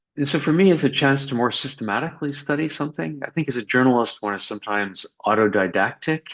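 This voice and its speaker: Over a quiet background, a man with a Canadian accent talks at a very fast pace with lively intonation. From Quebec, Canada (anglophone). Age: 60s. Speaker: journalist and author. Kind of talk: interview. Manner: hesitant, with fillers and repeats.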